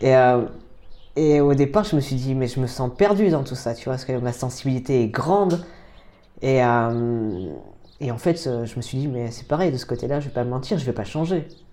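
His tone is dark and mellow, with ordinary pitch variation. The man keeps a moderate pace. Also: medium pitch for a man. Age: 30s. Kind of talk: casual interview. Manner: halting, with repetitions.

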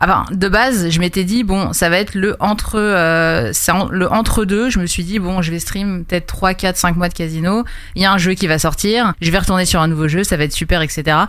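Speech at a moderate pace comes with very even loudness and hardly any pauses, over noticeable background noise. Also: woman, medium pitch for a woman, ordinary pitch variation. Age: 20s. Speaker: streamer and fantasy football card manager. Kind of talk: casual interview.

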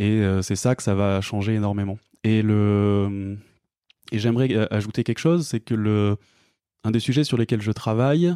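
Dry and close with no echo, a man's fairly low voice has a dark, mellow tone, ordinary pitch variation and a moderate pace. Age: 30s. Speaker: climate consultant. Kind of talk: interview. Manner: halting.

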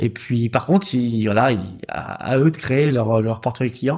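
Somewhat breathy, a man's voice moves with ordinary pitch variation. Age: 40s. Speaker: wealth management advisor. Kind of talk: interview. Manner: hesitant, many fillers.

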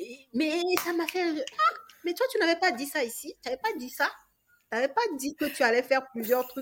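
Her pitch is high and swings very widely as this woman talks at a moderate pace. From Togo. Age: 30s. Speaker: real estate investor and coach. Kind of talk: casual interview.

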